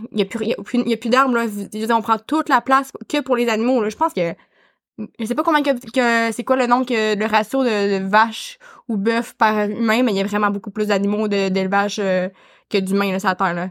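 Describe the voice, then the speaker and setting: In a Quebec accent, the speaker's pitch moves with ordinary variation, and the sound is dry and close with no echo. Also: woman, fairly high pitch for a woman, moderate pace. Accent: Québécois French. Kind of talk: casual chat. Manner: halting.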